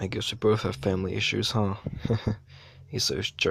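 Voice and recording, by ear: Here someone reads aloud in a natural voice.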